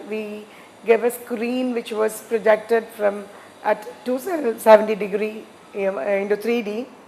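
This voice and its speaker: A woman's fairly high, fairly even voice over noticeable background noise. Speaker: entrepreneur. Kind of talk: interview. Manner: halting, many fillers.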